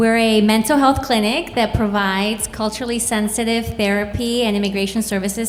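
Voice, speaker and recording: A woman with a Spanish accent speaking at a fairly quick pace with fairly even intonation over noticeable background noise. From Mexico City, then Chicago area from age seven. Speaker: clinic founder, therapist. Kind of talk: event introduction.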